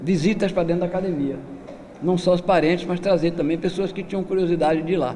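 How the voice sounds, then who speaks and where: Against noticeable background noise, a man with a high pitch talks at a fairly quick pace with fairly even intonation. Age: 70s. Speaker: capoeira master. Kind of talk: lecture.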